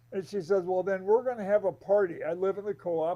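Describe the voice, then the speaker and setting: The speech runs at a very fast pace. The tone is dark and mellow. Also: man. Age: 80s+. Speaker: motivational speaker and author. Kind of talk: interview. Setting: live stream podcast.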